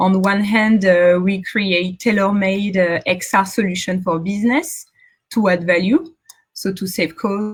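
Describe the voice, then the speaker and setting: A woman with a French accent speaks at a fairly slow pace, her medium-pitched voice somewhat breathy and her intonation fairly even. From central France. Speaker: tech founder. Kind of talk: conference talk. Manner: halting.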